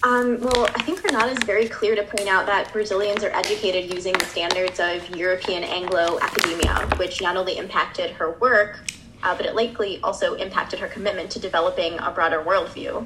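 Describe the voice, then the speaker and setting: With an American accent, a woman speaks at medium pitch and a fairly quick pace with hardly any pauses. Noticeable background noise is present. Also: ordinary pitch variation. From Chicago, US Midwest. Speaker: graduate student co-host. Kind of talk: podcast discussion.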